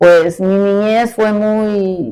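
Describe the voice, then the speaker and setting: Her tone is dark and mellow. This woman keeps a medium pitch and fairly even intonation. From Mexico City. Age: 70s. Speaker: catechist. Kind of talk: testimony.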